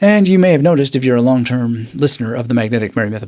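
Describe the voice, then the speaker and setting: The speaker is a man. His intonation is lively. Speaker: memory training podcaster. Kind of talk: educational talk. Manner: conversational, with fillers.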